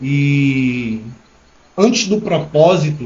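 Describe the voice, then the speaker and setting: A man speaks with lively intonation. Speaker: entrepreneur. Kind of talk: live stream talk to viewers. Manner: hesitant, stammering.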